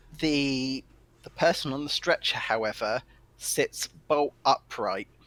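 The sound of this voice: An unforced reading voice of ordinary pitch variation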